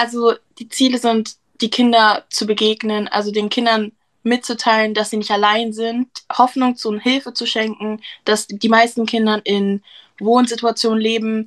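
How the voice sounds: A woman's fairly high voice with little pitch movement. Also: moderate pace.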